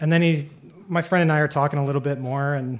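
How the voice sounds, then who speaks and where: A man's fairly high voice, with ordinary pitch variation, comes through over a quiet background. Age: 30s. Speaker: storyteller. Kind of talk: live storytelling. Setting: stage with audience. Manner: casual, halting with fillers. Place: stage. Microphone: handheld.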